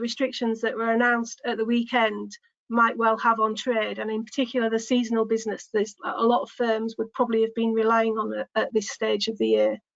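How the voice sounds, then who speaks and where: Speaking at a fairly quick pace, a woman with a Yorkshire accent has a fairly high pitch. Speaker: business development manager. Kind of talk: business webinar presentation.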